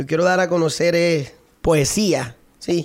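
A high-pitched man in a very clean recording with a silent background. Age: 30s. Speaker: accordionist and singer. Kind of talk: casual interview.

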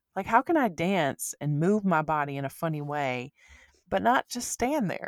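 A woman's fairly low voice with very wide pitch swings at a moderate pace, dry and close with no echo, in a very clean recording with a silent background. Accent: Alabama. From US South. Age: 20s. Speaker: podcast co-host. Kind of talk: casual chat.

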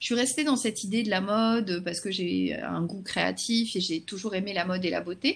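At a moderate pace, a woman speaks in a somewhat breathy voice with ordinary pitch variation. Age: 40s. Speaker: social media consultant and trainer. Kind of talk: interview.

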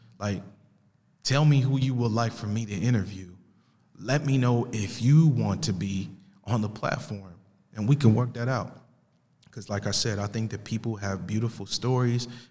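At a moderate pace with long, frequent pauses, a man speaks with an American accent in a medium pitch, his tone dark and mellow, somewhat breathy, with ordinary pitch variation. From Italy and US. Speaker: podcast host. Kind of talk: casual monologue introducing podcast. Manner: casual, conversational.

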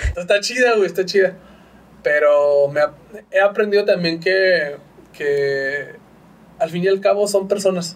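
Over noticeable background noise, a man with a high voice talks at a fairly slow pace with ordinary pitch variation and long, frequent pauses. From northern Mexico, Chihuahua. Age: 30s. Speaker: graphic designer and podcaster. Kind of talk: casual chat. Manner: slight stammer.

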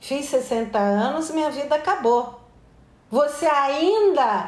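A high-pitched woman at a very slow pace, very wide pitch swings, audible room echo around her. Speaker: anthropologist and author. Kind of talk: interview.

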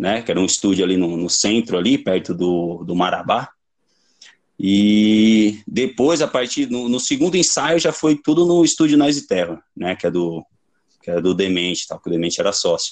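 This man's voice sits at a fairly low pitch. His pitch swings very widely as he speaks. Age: 30s. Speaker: punk band vocalist. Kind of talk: casual chat.

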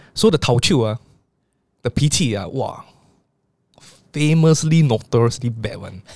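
Speaking at a moderate pace with long, frequent pauses, a man with a Singaporean accent has a somewhat breathy voice, lively intonation and big swings in loudness. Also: medium pitch for a man. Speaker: podcast host. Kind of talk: interview.

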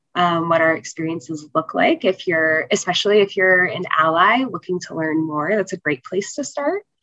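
An unremarkable speaking voice comes from a woman with an American accent, medium pitch and a moderate pace. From North Carolina, US. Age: 20s. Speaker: cancer survivor and nonprofit founder. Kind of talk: interview.

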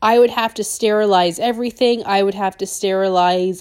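In a very clean recording with a silent background, a woman speaks in a normal speaking voice at a moderate pace. Her pitch is fairly high, with fairly even intonation. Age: 30s. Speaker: dental hygienist and business owner podcaster. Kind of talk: casual monologue.

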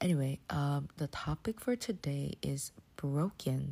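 A quiet, somewhat breathy voice with a dark, mellow tone. The recording is very clean with a silent background. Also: woman. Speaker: devotional podcast host. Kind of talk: casual solo devotional talk. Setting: bedroom at night, home. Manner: soft-spoken, subdued, not dynamic.

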